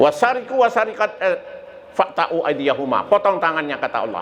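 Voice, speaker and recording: With very wide pitch swings, a man keeps a moderate pace while noticeable background noise runs underneath. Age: 70s. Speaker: Islamic preacher. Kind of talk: sermon.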